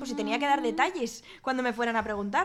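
A woman speaks loudly in a high voice with ordinary pitch variation. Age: 30s. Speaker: guest. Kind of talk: casual chat.

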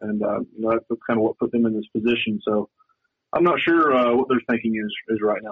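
In a slight Southern US accent, a man speaks at a medium pitch with fairly even intonation. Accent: slight Southern drawl. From western North Carolina. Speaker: sports reporter. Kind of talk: radio interview.

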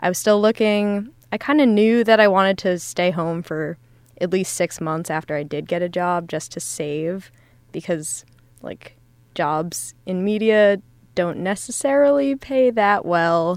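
Speaking with an American accent, a woman has an ordinary speaking voice, medium pitch and lively intonation at a fairly slow pace. The recording is very clean, with a silent background. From Essex County, New Jersey. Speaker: editorial assistant, recent graduate. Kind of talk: casual chat. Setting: studio.

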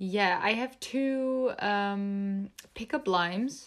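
A woman's medium-pitched voice, with ordinary pitch variation, comes through in a very clean recording against a silent background. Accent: Dutch. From Netherlands. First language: Dutch. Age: 20s. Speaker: YouTuber. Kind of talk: casual chat.

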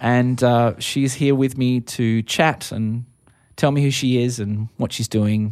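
At a fairly slow pace, a man with an Australian accent speaks at a medium pitch in a flat monotone, recorded very cleanly over a silent background. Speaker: podcast host and musician. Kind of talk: casual interview chat. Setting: music venue.

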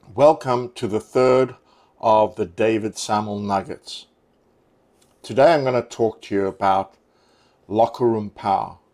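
The speaker uses a confident tone and ordinary pitch variation. The pace is fairly slow, broken by long, frequent pauses. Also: man, medium pitch for a man. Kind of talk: motivational talk, short coaching pep talk. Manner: emphatic, driving, building each point toward a punchy formula; confident, authoritative.

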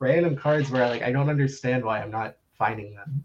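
A man with an American accent, a fairly high pitch and a somewhat breathy voice, at a fairly quick pace. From South Florida. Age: 30s. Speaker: sports card collector. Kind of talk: casual chat.

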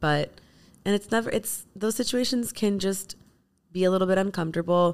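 A woman talks in an ordinary speaking voice at medium pitch and a fairly quick pace, with ordinary pitch variation. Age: 30s. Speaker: beauty brand founder. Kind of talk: casual chat.

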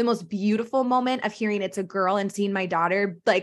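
A woman with a plain, everyday voice at medium pitch, a fairly quick pace, ordinary pitch variation and a quiet background. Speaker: postpartum health coach. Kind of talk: casual chat.

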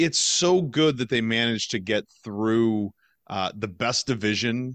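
An unremarkable speaking voice, a man at a medium pitch and a moderate pace. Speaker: podcast host. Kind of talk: casual sports podcast chat.

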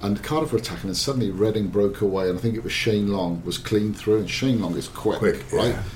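At a very fast pace, a man talks in a fairly low voice with ordinary pitch variation amid noticeable background noise. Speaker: football journalist. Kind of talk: casual football discussion. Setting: studio.

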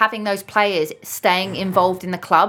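A woman with a London accent speaks at a medium pitch and moderate pace, her tone bright and sharp. Her intonation stays monotone and flat on a very clean recording with a silent background. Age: 30s. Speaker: retired footballer. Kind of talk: interview.

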